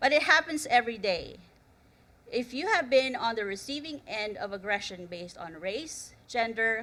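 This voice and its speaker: A woman talks at a fairly slow pace with a non-native accent. Her voice sits fairly high, with a bright, sharp tone and ordinary pitch variation. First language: not English. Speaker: conference speaker, researcher. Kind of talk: conference talk. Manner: storytelling, slightly halting.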